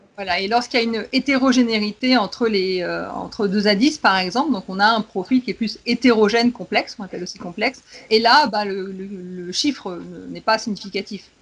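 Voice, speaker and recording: Fairly quick, fairly high-pitched speech from a woman, its pitch varying in an ordinary way. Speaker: education consultant, specialized educator. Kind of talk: casual expert discussion. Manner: fast.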